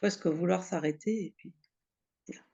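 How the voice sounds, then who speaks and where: The speaker is a woman with a fairly low pitch. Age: 60s. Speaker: client giving a testimonial. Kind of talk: testimony interview. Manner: halting, with many hesitations and repetitions.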